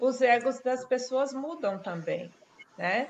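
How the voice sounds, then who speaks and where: A woman speaks at a very slow pace. Her pitch is high and her intonation lively. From Brazil. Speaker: nurse and death researcher. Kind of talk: explanatory talk in a live webinar. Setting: online live stream.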